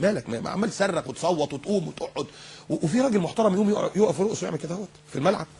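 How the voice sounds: A man talks at a very fast pace, his voice carrying a husky, rough edge and a slightly mellow tone.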